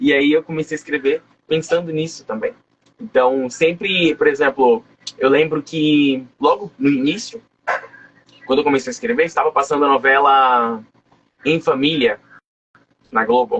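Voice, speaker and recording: Pausing long and often, a man talks at a moderate pace and a fairly high pitch with ordinary pitch variation. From Brazil, coastal São Paulo state (Guarujá). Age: 20s. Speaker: writer. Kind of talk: interview.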